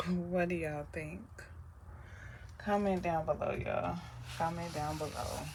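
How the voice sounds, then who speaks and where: A soft-spoken woman talks with long, frequent pauses. Audible room echo surrounds her voice. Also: fairly slow pace. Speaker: soap maker and small business owner. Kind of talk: tutorial.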